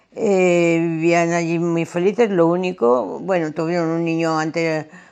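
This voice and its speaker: Here a woman speaks at a very slow pace. Her pitch is fairly low. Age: 80s+. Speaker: witness of family history. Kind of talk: testimony. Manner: hesitant.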